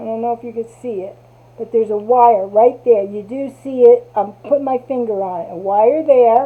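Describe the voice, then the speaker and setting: A woman with a New Jersey accent and ordinary pitch variation. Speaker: crafter. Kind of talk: tutorial. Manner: casual.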